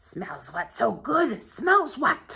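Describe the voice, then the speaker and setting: Putting on a character voice, a woman growls and hisses at a high pitch with very wide pitch swings. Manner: hissing.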